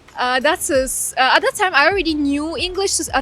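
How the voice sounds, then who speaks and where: A woman's high, raised, projected voice with lively intonation and a Russian accent, over music in the background. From Ukraine (Crimea) and Ghana. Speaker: law graduate. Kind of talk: interview.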